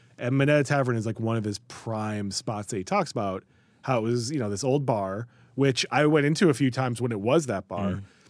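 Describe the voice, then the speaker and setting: In a very clean recording with a silent background, a man with an American accent talks at a fairly quick pace. He has an ordinary speaking voice at medium pitch with ordinary pitch variation. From Chicago area and New York. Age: 40s. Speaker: writer. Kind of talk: casual chat. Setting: studio.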